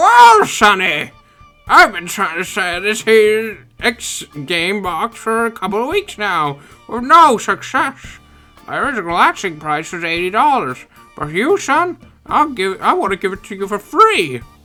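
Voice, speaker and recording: A put-on character voice, fairly high-pitched, at a moderate pace, with faint music in the background. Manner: friendly, generous.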